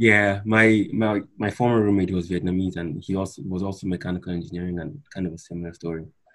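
Speaking at a very fast pace with hardly any pauses, a man uses a very deep, low pitch and fairly even intonation. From Nigeria, Calabar. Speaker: engineering student. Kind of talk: interview.

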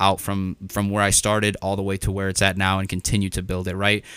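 With an enthusiastic tone, a man speaks at a very fast pace on a very clean recording with a silent background. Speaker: podcast host and Amazon seller. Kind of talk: solo podcast monologue, motivational. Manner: fast talker; casual, enthusiastic.

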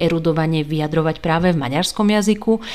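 This woman's voice sits fairly low as she rattles through her words at a very fast pace. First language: Hungarian (speaking Slovak). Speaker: book podcaster. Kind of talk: solo podcast talk. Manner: casual, hesitant fillers.

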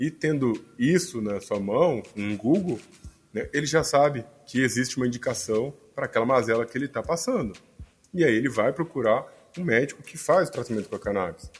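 A man with a medium pitch and a somewhat breathy voice talks fairly quickly, his intonation lively. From Brazil, Cuiabá, Mato Grosso. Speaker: physician. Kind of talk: interview.

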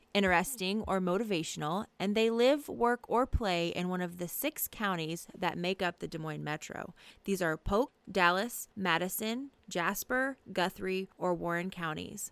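In a normal speaking voice, a woman talks at medium pitch and a moderate pace with ordinary pitch variation and hardly any pauses, the sound dry and close with no echo. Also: very clean recording, silent background. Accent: American. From Atlanta, US South. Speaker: podcast host. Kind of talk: casual interview chat; scripted outro. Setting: on location in a store.

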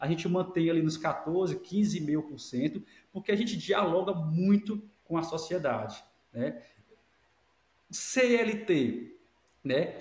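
Lively intonation at a very slow pace, with long, frequent pauses. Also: man, high pitch for a man. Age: 40s. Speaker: academic director. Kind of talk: casual interview.

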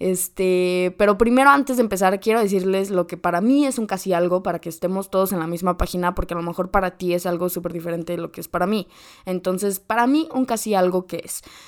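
Big swings in loudness mark this very fast delivery, with ordinary pitch variation and hardly any pauses. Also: woman, medium pitch for a woman. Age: 20s. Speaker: podcast host. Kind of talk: casual chat.

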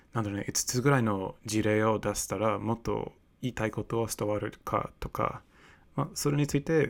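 In a very clean recording with a silent background, a man with a non-native accent speaks at a moderate pace, with medium pitch and ordinary pitch variation. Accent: non-native Japanese. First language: English (speaking Japanese). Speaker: podcast host. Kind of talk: solo monologue. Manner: halting.

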